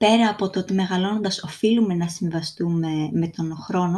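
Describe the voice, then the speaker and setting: A woman speaks with a fairly low pitch and a dark, mellow tone. Her voice is somewhat breathy, and her intonation stays fairly even. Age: 20s. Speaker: podcast host. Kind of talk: solo podcast monologue.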